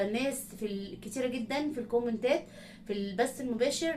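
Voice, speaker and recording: A woman's fairly high voice amid noticeable background noise and audible room echo. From Egypt, not raised in Sohag. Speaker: reaction video creator. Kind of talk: casual talk to viewers. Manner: halting.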